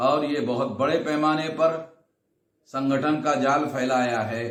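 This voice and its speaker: Audible room echo surrounds a man's speech. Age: 60s. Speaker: activist organization leader. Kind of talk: recorded speech to a convention. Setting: video message.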